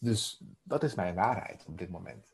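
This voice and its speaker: Speaking at a very slow pace, a man with a somewhat breathy voice uses lively intonation. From Netherlands, Emmeloord (Noordoostpolder). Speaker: life coach. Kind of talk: interview conversation. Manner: halting, many fillers.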